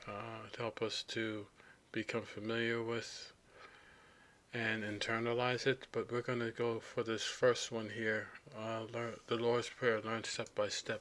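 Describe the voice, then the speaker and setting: At a fairly slow pace, a man with a medium pitch speaks in a monotone, flat intonation. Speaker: language tutorial presenter. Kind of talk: screen-recorded tutorial. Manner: halting, many fillers.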